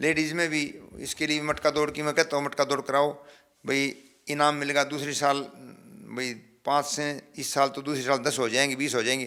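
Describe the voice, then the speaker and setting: This man's voice sits at a fairly high pitch and has a bright, sharp tone. His intonation is monotone and flat. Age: 70s. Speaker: veteran athlete. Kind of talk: interview.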